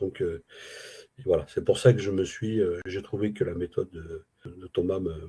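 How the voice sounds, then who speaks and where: Speaking at a fairly slow pace, a man with a somewhat breathy, dark, mellow tone uses ordinary pitch variation. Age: 60s. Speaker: retired Arabic language student. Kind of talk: interview testimony. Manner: halting, many hesitations.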